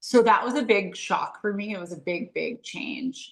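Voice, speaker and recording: With a Canadian Prairie accent, a woman speaks with ordinary pitch variation. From rural Saskatchewan, Canada. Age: 40s. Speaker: entrepreneur. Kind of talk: interview conversation. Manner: casual with fillers.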